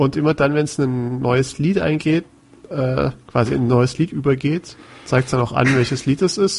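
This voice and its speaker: A man of medium pitch, somewhat breathy, at a moderate pace with ordinary pitch variation. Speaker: podcast co-host. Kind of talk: casual chat.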